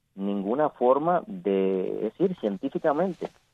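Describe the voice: A man speaks at a fairly slow pace and medium pitch, with big pitch swings and a dry, close sound with no echo.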